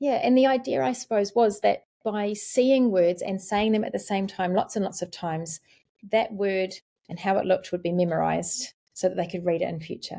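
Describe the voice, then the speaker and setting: A woman in a New Zealand accent, dark, mellow tone, fairly quick pace and ordinary pitch variation, in a very clean recording with a silent background. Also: medium pitch for a woman. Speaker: literacy specialist. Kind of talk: podcast interview.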